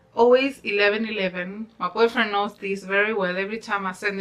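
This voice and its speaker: A woman with a fairly high pitch, a fairly quick pace, and noticeable background noise. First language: not English. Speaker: YouTuber, law of attraction vlogger. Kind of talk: casual vlog talk. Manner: animated; rambling, unscripted.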